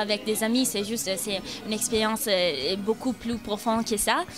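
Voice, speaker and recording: Over background music, a woman with an Italian accent speaks at a fairly slow pace in a fairly high voice with fairly even intonation. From Italy, Milan. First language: Italian (speaking French). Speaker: university exchange student. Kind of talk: interview testimony. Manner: halting, many hesitations.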